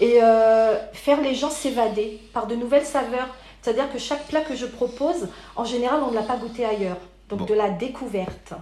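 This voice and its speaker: Audible room echo around a woman's high voice, ordinary pitch variation and a moderate pace. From Paris region, France. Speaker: caterer. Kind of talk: interview.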